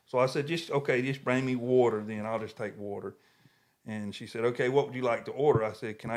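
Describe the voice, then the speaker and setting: A man in a medium pitch with a Southern US accent and ordinary pitch variation. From US South. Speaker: podcast co-host. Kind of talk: casual chat. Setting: home podcast studio.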